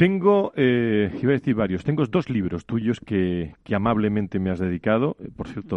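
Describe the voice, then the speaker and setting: A normal speaking voice talks at a moderate pace with lively intonation. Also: man. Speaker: radio health show host. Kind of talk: radio talk show. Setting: radio studio in Madrid.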